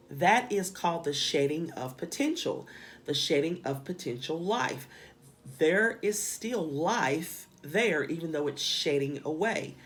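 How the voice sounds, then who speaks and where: Over background music and audible room echo, a woman with a strong Southern US accent talks fairly slowly in a fairly low voice with lively intonation. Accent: strong Southern drawl and country twang. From US South. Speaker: spiritual teacher. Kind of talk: lecture.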